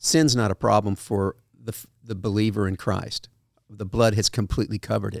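A man's fairly low voice with vocal fry, fairly even intonation and big swings in loudness, dry and close with no echo. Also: moderate pace. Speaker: pastor. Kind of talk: casual chat. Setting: studio. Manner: halting.

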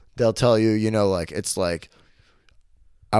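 A man speaks in an animated tone at a fairly low pitch. The recording is very clean, with a silent background. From Arkansas. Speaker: comedian. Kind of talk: casual chat.

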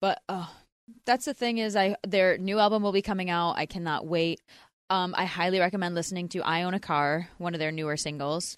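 A woman speaks with an American accent in an ordinary speaking voice. The sound is dry and close with no echo, over a quiet background. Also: medium pitch for a woman, ordinary pitch variation, fairly quick pace. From US Northeast, Philadelphia. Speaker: podcast co-host. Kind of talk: casual chat.

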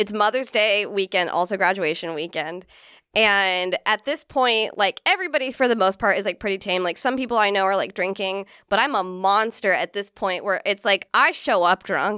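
With a Californian accent and a bright, sharp tone, a woman speaks at a moderate pace with ordinary pitch variation, the sound dry and close with no echo. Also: medium pitch for a woman, very clean recording, silent background. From Central California. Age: 30s. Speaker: comedian. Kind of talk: casual chat.

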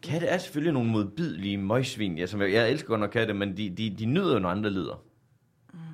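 Speaking at a very fast pace in a central Jutland accent, a man makes very wide pitch swings. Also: fairly low pitch for a man. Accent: central Jutland Danish. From Denmark, central Jutland. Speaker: comedian. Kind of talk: casual chat. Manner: dry, sarcastic-sounding.

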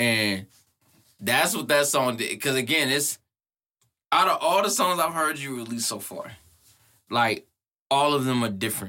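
A man with an American accent, fairly high in pitch, bright and sharp in tone, with lively intonation, an animated tone, a moderate pace and long, frequent pauses. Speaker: podcast interviewer. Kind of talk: casual chat. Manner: profane, animated, casual.

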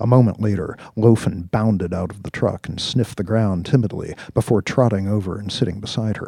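Fairly even intonation in a natural reading voice.

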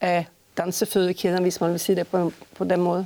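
At a medium pitch, this woman speaks with a dark, mellow tone. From Sweden, Stockholm. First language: Swedish (speaking Danish). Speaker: choreographer and artistic director. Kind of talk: interview. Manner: halting, frequent fillers.

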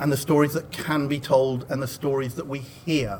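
A man at a fairly high pitch, music in the background. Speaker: podcast network community manager. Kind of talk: panel discussion. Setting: live panel with audience.

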